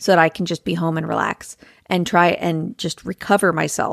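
This woman has a fairly low voice with ordinary pitch variation. The sound is dry and close with no echo, and the recording is very clean with a silent background. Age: 30s. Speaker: folk singer-songwriter. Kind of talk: casual chat.

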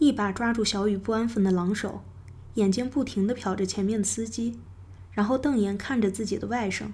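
Text read aloud in a natural voice

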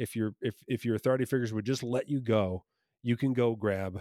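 An ordinary speaking voice from a man with an American accent, medium in pitch, at a moderate pace with ordinary pitch variation. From New Jersey, US. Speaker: comedy magician and improviser. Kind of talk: casual interview chat.

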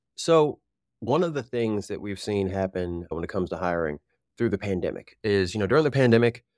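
In an American accent, a man with an ordinary speaking voice talks at a fairly quick pace with lively intonation, the sound dry and close with no echo. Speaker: recruiter. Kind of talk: interview. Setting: video call. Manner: casual.

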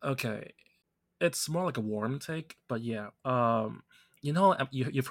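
In a very clean recording with a silent background and a dry, close sound with no echo, a man with an ordinary speaking voice talks fairly slowly with ordinary pitch variation. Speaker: podcast host. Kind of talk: casual chat.

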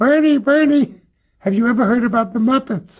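In a put-on character voice, a man speaks at an extremely high pitch. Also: moderate pace, ordinary pitch variation.

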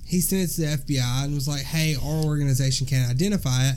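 Here is a man with a Southern US accent. He talks at a fairly quick pace with a fairly high pitch. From US South. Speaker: podcast co-host. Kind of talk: casual chat.

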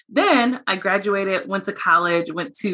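Animated in tone, a woman with an American accent speaks at a medium pitch with ordinary pitch variation over noticeable background noise. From US, small town. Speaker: CEO of diversity technology company. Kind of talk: interview conversation.

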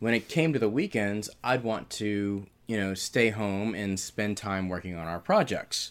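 In an unremarkable speaking voice, the speaker talks at a fairly slow pace with ordinary pitch variation on a very clean recording with a silent background. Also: man, fairly low pitch for a man. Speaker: podcast guest, husband of the host. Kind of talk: casual chat.

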